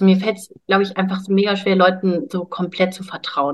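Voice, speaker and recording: The woman, medium in pitch, talks fairly quickly. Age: 20s. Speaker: bodybuilder and health coach. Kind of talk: casual interview.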